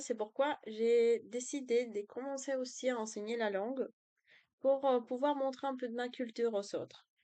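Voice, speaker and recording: A woman with a Spanish accent speaks at a high pitch in a dark, mellow tone with fairly even intonation over a quiet background. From Colombia. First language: Spanish (speaking French). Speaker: language tutor and student. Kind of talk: self-introduction video. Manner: hesitant, many fillers.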